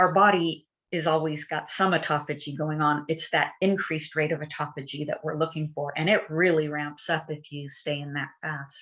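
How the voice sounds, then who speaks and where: Over a quiet background, a woman talks in a very deep, low pitch with ordinary pitch variation. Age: 60s. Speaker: wellness product user sharing results. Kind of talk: testimony. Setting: livestream.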